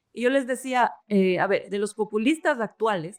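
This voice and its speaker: Music plays in the background as a woman with a fairly high pitch talks at a moderate pace with ordinary pitch variation. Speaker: podcast co-host and university teacher. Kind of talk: podcast conversation. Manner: halting, many fillers.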